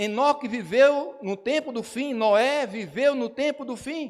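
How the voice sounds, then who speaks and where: Very slow speech with lively intonation on a very clean recording with a silent background. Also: man. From São Paulo, Brazil. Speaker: pastor. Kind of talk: sermon. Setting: church.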